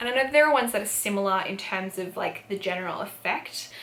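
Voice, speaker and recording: Over noticeable background noise, a woman talks at a fairly quick pace with lively intonation and an Australian accent. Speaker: beauty youtuber. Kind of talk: product review. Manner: casual, filler-heavy.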